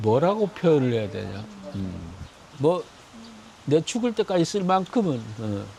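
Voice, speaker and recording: A man with a fairly high pitch speaks at a very slow pace, taking long, frequent pauses. His tone is dark, mellow and somewhat breathy, with very wide pitch swings. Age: 70s. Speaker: retired factory owner. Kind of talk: street interview. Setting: outdoors in a park. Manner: casual, halting.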